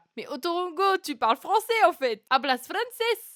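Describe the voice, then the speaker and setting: A woman speaks in an animated tone with very wide pitch swings. The sound is dry and close, with no echo. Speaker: singer-songwriter streamer. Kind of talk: casual live stream chat. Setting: live stream.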